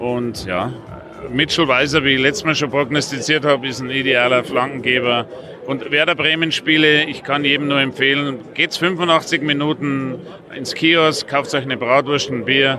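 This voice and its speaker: Noticeable noise in the background behind fairly even intonation. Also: man, fairly high pitch for a man, moderate pace. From Passau, Bavaria. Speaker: beer competition organiser. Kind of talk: interview at a trade fair. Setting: trade fair.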